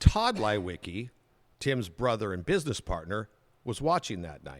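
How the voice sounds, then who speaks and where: With an American accent, the speaker talks at a fairly slow pace. Loudness swings widely, and pitch swings are very wide. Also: man, fairly low pitch for a man, very clean recording, silent background. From Southern California. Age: 60s. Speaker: TV news anchor. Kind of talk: podcast interview, casual storytelling. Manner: animated.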